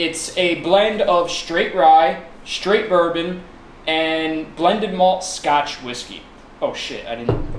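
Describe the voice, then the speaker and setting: Amid noticeable background noise and audible room echo, a man speaks very slowly at a high pitch with ordinary pitch variation. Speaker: whiskey review show host. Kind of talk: casual chat. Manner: stuttering.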